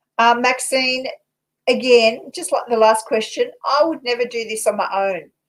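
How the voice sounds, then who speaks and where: With an Australian accent, a woman speaks at a high pitch. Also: ordinary pitch variation, moderate pace. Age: 60s. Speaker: paranormal investigator and tarot reader. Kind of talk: casual chat with tarot readings.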